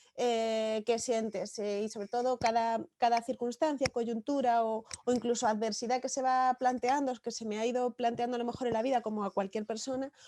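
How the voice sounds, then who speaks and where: A woman with a slight Galician accent speaks at a moderate pace with a fairly high pitch and a dark, mellow tone. Her intonation is monotone and flat, with hardly any pauses, in a dry, close sound with no echo. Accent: slight Galician lilt. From Galicia, Spain (village near Santiago). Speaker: novelist. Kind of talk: interview.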